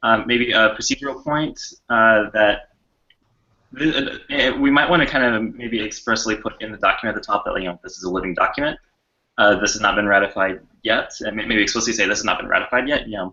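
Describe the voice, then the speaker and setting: The pitch of this man's voice is medium. He rattles through his words very fast. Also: ordinary pitch variation. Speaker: working group member. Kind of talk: group meeting discussion. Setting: video call.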